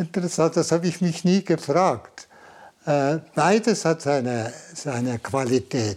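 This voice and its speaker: Speaking at a fairly slow pace, a man with an unremarkable speaking voice and a fairly high pitch uses lively intonation. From Switzerland, Valais. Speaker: Jesuit priest and Zen master. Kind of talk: interview. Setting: meditation room.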